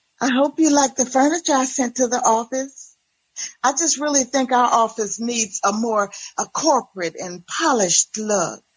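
Putting on a breathy character voice, a woman speaks high at a moderate pace. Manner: giddy, breathy, self-satisfied.

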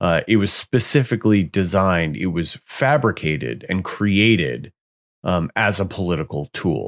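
An American-accented man with a very deep, low pitch, vocal fry and lively intonation, in a dry, close sound with no echo. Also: moderate pace. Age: 40s. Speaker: podcast host. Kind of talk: solo podcast monologue. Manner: hesitant, many fillers.

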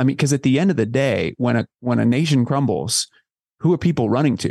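Talking at a very fast pace with vocal fry and ordinary pitch variation, the voice sounds dry and close with no echo. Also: man. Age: 40s. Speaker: author and family psychologist. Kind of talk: interview.

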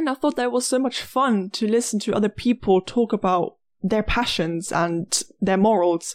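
A woman with an unremarkable speaking voice talks at a fairly quick pace and fairly high pitch with ordinary pitch variation, in a dry, close sound with no echo. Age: 20s. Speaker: podcast host, university student. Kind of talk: scripted monologue.

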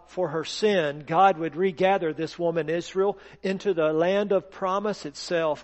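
Plain reading aloud. The text is simply read out.

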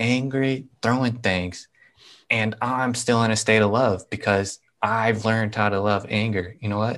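A man with an American accent speaks at a moderate pace with fairly even intonation. His pitch is medium, and the background is quiet. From US Midwest, Nebraska. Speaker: author and spiritual guide. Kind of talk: interview.

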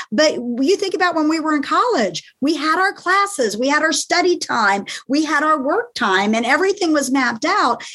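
Her voice is high, raised and projected, with a bright, sharp, energetic and animated tone. The woman speaks at a moderate pace with very wide pitch swings and very even loudness. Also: hardly any pauses. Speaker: author and coach. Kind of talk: casual interview. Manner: energetic, animated.

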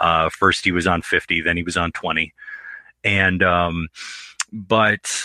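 A man speaks in an American accent at a very deep, low pitch with a bright, sharp tone. His intonation is fairly even, and the sound is dry and close with no echo. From Detroit. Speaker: author and filmmaker. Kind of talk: casual interview.

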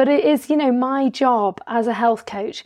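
A woman speaks at a fairly slow pace against a quiet background. Her voice is fairly high, with ordinary pitch variation. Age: 50s. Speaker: health coach podcast host. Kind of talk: solo podcast monologue. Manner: hesitant, many fillers.

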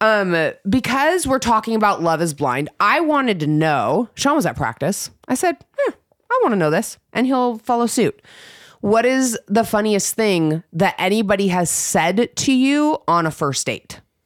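Very wide pitch swings at a fairly slow pace, in a dry, close sound with no echo. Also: woman, fairly high pitch for a woman, very even loudness. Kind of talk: casual banter podcast. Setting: home recording.

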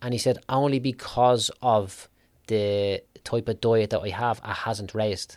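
Speaking fairly slowly with an Irish accent, a man keeps a medium pitch and fairly even intonation on a very clean recording with a silent background. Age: 30s. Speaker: business mentor for tradesmen. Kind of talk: casual interview chat.

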